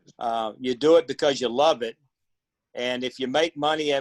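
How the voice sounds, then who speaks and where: A man speaks with a plain, everyday voice at a medium pitch. The sound is dry and close, with no echo. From Texas, USA. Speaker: auctioneer and vintage radio club president. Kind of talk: casual talk, guest answering questions on a video call.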